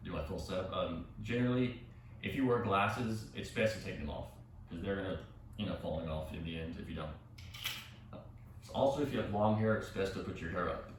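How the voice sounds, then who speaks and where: A soft-spoken man at a fairly quick pace with ordinary pitch variation and long, frequent pauses, amid audible room echo and noticeable background noise. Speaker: yoga instructor. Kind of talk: tutorial. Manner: halting.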